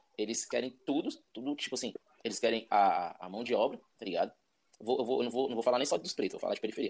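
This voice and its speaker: A man talks at a very fast pace. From Brazil, Ceilândia (Federal District). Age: 30s. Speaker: rapper. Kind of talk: casual chat. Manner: casual slang-heavy.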